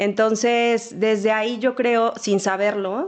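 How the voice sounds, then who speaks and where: A woman's fairly high, monotone, flat voice against a quiet background. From Mexico, Sonora (Ciudad Obregón). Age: 40s. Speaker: marketing executive. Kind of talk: interview testimony.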